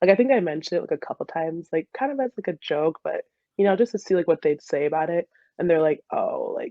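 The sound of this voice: A woman talks fast at a low pitch with big pitch swings. The sound is dry and close, with no echo.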